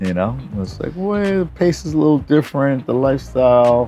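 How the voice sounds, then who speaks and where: With music in the background, a man with a New York accent talks at a fairly quick pace, his pitch swinging very widely. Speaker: voice actor and nightlife promoter. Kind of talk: interview. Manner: halting.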